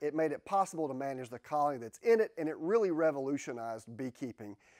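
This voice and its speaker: The man speaks over a quiet background. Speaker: beekeeping educator. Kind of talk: tutorial. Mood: friendly, enthusiastic. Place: workshop. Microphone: lapel.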